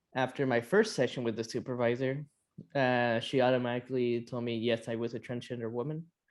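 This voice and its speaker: A man talks at a fairly quick clip in a flat, monotone delivery. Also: medium pitch for a man. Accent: American. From California. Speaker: detransitioner. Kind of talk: interview.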